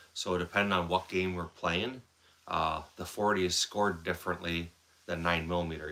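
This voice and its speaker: In a Wisconsin accent, a man speaks with a very deep, low pitch and a bright, sharp tone. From central Wisconsin. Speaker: firearms livestreamer. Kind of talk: casual live stream chat.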